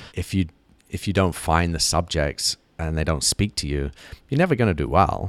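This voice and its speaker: A man's very deep, low voice, dry and close with no echo, in a very clean recording over a silent background. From grew up in Africa and Southeast Asia, British family. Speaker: advertising creative executive. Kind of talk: interview conversation. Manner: halting, many repetitions.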